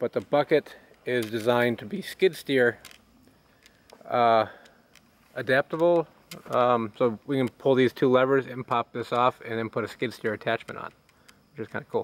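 A man at a moderate pace with long, frequent pauses and ordinary pitch variation, in a dry sound with no echo. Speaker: tractor owner. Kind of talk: casual walkaround commentary. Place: garden.

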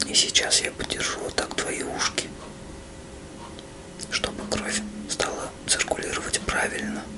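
A man whispering at a fairly slow pace. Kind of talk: soft roleplay guidance, addressing the viewer. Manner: soft, hushed ASMR murmur. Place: home room.

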